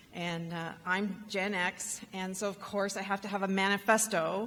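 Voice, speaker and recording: Audible room echo surrounds a woman with a Canadian accent who speaks at a medium pitch with monotone, flat intonation. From Canada. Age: 50s. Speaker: rural entrepreneurship advocate. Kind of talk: conference keynote talk. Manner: halting, with many fillers.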